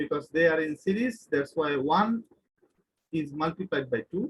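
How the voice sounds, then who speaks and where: Recorded dry and close with no echo, a man speaks in an ordinary speaking voice, fairly high in pitch, with ordinary pitch variation at a moderate pace. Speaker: university lecturer. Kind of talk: lecture.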